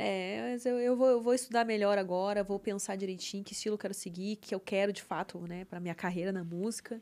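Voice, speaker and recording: A woman's dark, mellow voice at a fairly quick pace, hardly pausing, with ordinary pitch variation. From southern Brazil, Porto Alegre area; Rio Grande do Sul, Brazil. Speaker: singer and webcam model; podcast guest. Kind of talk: casual interview chat. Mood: relaxed, reflective. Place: studio. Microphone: studio mic.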